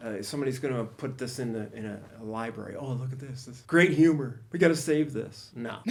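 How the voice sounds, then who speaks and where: In an American accent, a man at medium pitch speaks fairly quickly with hardly any pauses, his loudness swinging widely amid audible room echo. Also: ordinary pitch variation. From Ohio, US Midwest. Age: 60s. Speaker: stand-up comedian. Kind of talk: podcast interview. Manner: halting.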